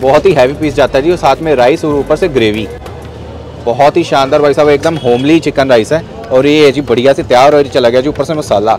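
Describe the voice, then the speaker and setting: Faint music plays in the background as a man speaks at a moderate pace, the sound dry with no echo. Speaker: food vlogger. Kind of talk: food vlog commentary. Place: street. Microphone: phone near.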